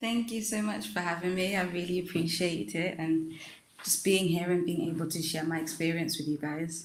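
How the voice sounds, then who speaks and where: A woman with a fairly low pitch talks at a moderate pace with ordinary pitch variation. Noticeable background noise and audible room echo surround her voice. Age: 20s. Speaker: stage actress. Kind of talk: casual interview.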